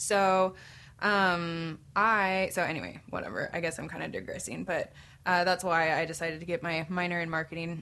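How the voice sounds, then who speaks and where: A woman with an American accent speaks at a moderate pace in a fairly low pitch. Her intonation is monotone and flat, and the background is quiet. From Tucson, Arizona. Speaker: photographer and actor. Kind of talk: casual podcast chat.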